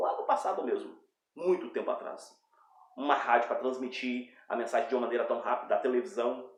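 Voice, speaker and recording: A man talks fairly quickly, and the room around him gives off an audible echo. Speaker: preacher. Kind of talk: bible teaching. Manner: fast.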